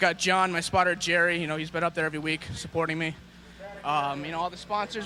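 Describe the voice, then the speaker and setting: Noticeable background noise sits behind a man. He speaks at a fairly quick pace with monotone, flat intonation. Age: 20s. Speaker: race car driver. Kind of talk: post-race interview. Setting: victory lane at a race track.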